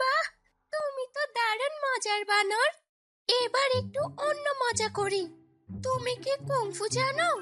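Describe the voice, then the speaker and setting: Over music in the background, a female-sounding cartoonish character voice speaks at a fairly slow pace with an extremely high pitch. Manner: giggly, teasing.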